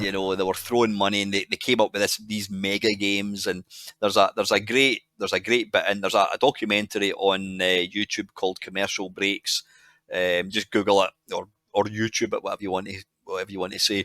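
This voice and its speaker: A man with a Scottish accent talks very fast in a fairly low voice with a bright, sharp tone and monotone, flat intonation. The recording is very clean and dry, close with no echo, against a silent background. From Scotland. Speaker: podcast guest. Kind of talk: podcast interview answer. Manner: casual, rambling.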